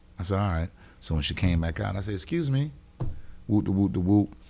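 A man talks at a fairly quick pace, somewhat breathy, with lively intonation. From US South, Wilmington, North Carolina. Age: 50s. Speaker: comedian and radio host. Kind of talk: casual chat. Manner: animated.

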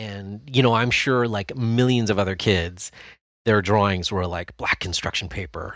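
With an unremarkable speaking voice, a man talks at a moderate pace and fairly low pitch with ordinary pitch variation, against a quiet background. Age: 50s. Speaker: costume prop maker and YouTuber. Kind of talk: casual chat.

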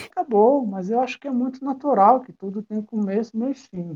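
The speaker is a man with a high pitch and a dark, mellow tone. His pitch varies in an ordinary way. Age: 40s. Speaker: former video rental store owner. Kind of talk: casual interview.

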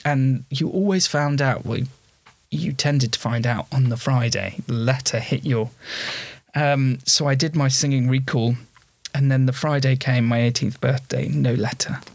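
This man's medium-pitched, somewhat breathy voice keeps very even loudness and fairly even intonation at a moderate pace. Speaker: theatre performer and theatre school owner. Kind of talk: casual chat.

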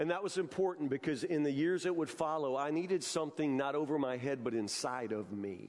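Using a plain, everyday voice, a man with a fairly high pitch talks at a fairly quick pace with lively intonation. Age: 50s. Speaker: pastor. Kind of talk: sermon. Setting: church. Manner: repetitive false starts.

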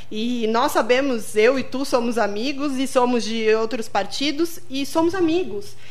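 With hardly any pauses, a woman speaks fairly slowly in a high voice with lively intonation. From Rio Grande do Sul, Brazil. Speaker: radio host. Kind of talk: radio interview. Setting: radio studio.

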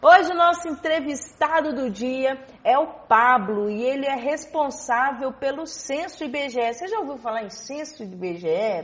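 A woman with a high pitch speaks at a fairly slow pace, with hardly any pauses and lively intonation. Her loudness swings a lot, and background noise is noticeable. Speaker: radio host. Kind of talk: radio interview.

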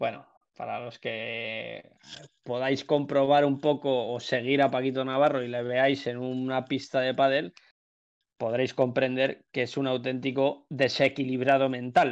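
Over a quiet background, a man at a medium pitch speaks in a monotone, flat intonation. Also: fairly slow pace. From Spain, Madrid area (Alcobendas). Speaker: professional padel player. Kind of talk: casual chat. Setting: Twitch live stream.

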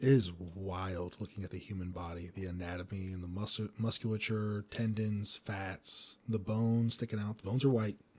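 Very clean recording, with a silent background, of a man at a fairly low pitch. He sounds somewhat breathy, moving at a moderate pace with fairly even intonation. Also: hardly any pauses. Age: 30s. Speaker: podcast host. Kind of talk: casual interview chat.

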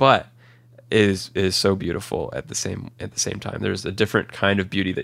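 Fairly low in pitch, a man speaks with ordinary pitch variation. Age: 20s. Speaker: medical student. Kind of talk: interview testimony. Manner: halting.

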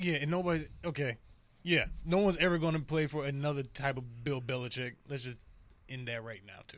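In an ordinary speaking voice, a man with an American accent talks at a fairly quick pace. His pitch is fairly high, with ordinary pitch variation. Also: big swings in loudness. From US Midwest. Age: 20s. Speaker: sports podcast host. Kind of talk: casual sports chat. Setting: studio.

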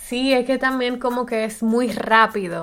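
Noticeable background noise sits behind a woman speaking. Her pitch is fairly high and her pace moderate. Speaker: podcast co-host. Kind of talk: casual chat.

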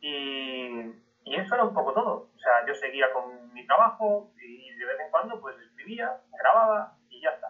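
Speaking at a fairly slow pace, a man has a fairly high pitch with very wide pitch swings. His loudness also swings a lot. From Spain, southern Madrid region. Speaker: history podcaster. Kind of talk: interview talk to an audience.

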